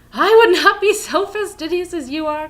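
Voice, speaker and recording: A woman's squeaky, put-on character voice at an extremely high pitch, raised and projected, at a moderate pace. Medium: read story. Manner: warm, lively.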